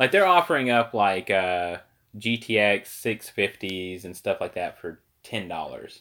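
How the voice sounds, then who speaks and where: With a bright, sharp tone and lively intonation, a man speaks very slowly at a medium pitch, his loudness swinging widely. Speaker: podcast host. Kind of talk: casual chat about gaming and current events. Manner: loud talker.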